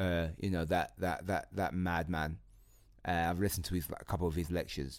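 Very deep and low in pitch, a man speaks at a fairly quick pace with fairly even intonation and very even loudness. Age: 20s. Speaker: comedian. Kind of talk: casual chat. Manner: halting.

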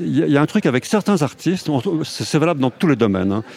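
This is a man speaking. His voice sits fairly high in pitch. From France, Haute-Savoie. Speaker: film director and novelist. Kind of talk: interview.

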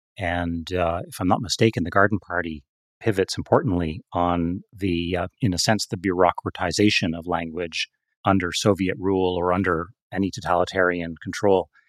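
A man's very deep, low voice at a moderate pace, with fairly even intonation and a dry, close sound with no echo. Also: very clean recording, silent background. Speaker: podcast host. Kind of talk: interview conversation.

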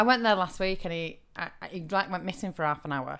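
Talking at a very fast pace, a woman with a northern English accent uses a medium pitch and lively intonation on a very clean recording with a silent background. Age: 30s. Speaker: actor and comedy writer. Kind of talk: casual chat.

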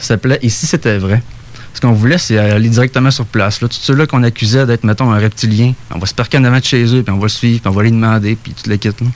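Noticeable background noise lies under speech at a very fast pace. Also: man, medium pitch for a man, fairly even intonation. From Saguenay, Quebec. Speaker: UFO witness. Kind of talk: storytelling. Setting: studio.

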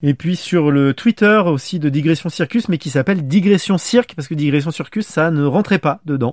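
A normal speaking voice from a man at fairly high pitch, moderate pace and ordinary pitch variation, hardly any pauses, dry, close sound with no echo, very clean recording with a silent background. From France. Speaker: podcast host. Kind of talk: casual chat.

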